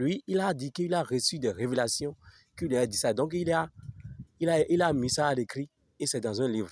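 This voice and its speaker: A man with a Beninese accent, lively intonation and a moderate pace, with long, frequent pauses, in a very clean recording with a silent background. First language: Fon (speaking French). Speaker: religious video commentator. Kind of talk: casual video commentary.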